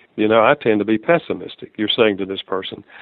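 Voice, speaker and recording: A man talks with a Southern US accent. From US South. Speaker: author and marriage counselor. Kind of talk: interview.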